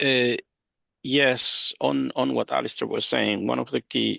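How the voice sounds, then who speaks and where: Heard with a non-native accent, a man speaks at a fairly slow pace. The sound is dry and close with no echo, over a quiet background. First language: not English. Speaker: regional government education manager. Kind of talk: panel discussion.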